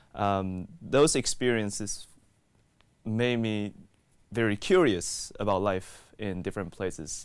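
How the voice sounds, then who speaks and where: With ordinary pitch variation and an American accent, a man speaks at a fairly low pitch in a dry sound with no echo. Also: quiet background. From Taiwan and Texas. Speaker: graduate student researcher. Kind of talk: interview testimony. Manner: hesitant with fillers. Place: studio. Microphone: lapel.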